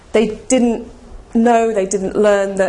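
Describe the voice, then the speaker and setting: Talking fairly quickly in a fairly high voice, a woman is heard with audible room echo and noticeable background noise. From Cornwall, England. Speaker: ecommerce marketing speaker and author. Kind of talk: conference presentation. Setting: stage with audience.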